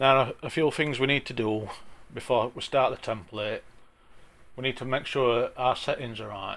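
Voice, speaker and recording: A man's fairly slow voice, very cleanly recorded against a silent background. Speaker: traffic management CAD plan drafter, YouTuber. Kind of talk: software tutorial. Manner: casual, with frequent hesitations. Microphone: sound issues.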